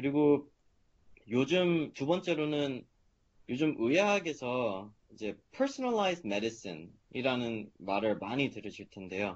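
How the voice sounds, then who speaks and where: A man with a fairly high voice talks very slowly, his pitch swinging very widely. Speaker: medical student. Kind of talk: seminar talk. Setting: video call. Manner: hesitant with fillers.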